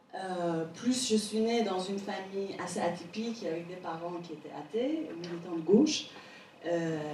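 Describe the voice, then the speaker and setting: A woman with a Persian accent speaks at a fairly slow pace, with big swings in loudness. The recording has audible room echo and noticeable background noise. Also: medium pitch for a woman, ordinary pitch variation. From Iran, Tehran. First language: Persian (speaking French). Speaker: painter. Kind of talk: interview before an audience. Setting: stage with audience.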